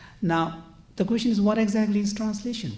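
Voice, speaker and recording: Audible room echo surrounds a man as he speaks. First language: not English. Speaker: conference panelist, translator. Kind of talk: conference panel talk. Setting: conference panel. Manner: hesitant, frequent fillers.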